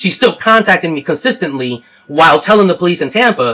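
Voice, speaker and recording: A man's high-pitched voice, very fast, with lively intonation. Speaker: caller. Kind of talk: phone complaint explanation. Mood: frustrated, earnest.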